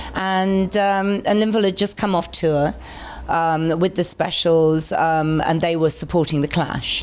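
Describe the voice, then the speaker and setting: A woman with an English accent and a very deep, low pitch speaks at a moderate pace. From England. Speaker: singer. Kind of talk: interview answer.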